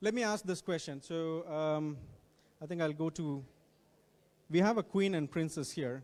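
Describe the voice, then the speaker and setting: A man with an Indian accent talks at a moderate pace and a fairly high pitch with ordinary pitch variation and long, frequent pauses, recorded very cleanly against a silent background. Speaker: guest speaker on technology. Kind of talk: talk to students. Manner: repetitive, self-correcting.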